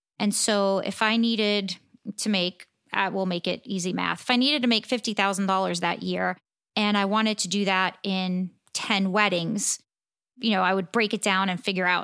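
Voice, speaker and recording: A woman speaks in a normal speaking voice with an American accent, her pitch medium and her intonation fairly even. She talks at a moderate pace on a very clean recording with a silent background. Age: 50s. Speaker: portrait photographer and educator. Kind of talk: interview.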